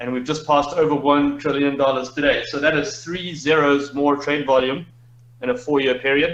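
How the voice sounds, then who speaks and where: A man speaks at a moderate pace in a fairly high pitch with monotone, flat intonation. There is audible room echo. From Zimbabwe. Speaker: crypto trade leader. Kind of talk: interview.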